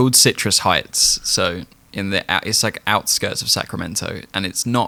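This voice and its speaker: Speaking with a British accent, a man of fairly low pitch and ordinary pitch variation has a bright, sharp tone. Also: moderate pace. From England. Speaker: podcast host. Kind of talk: casual podcast conversation.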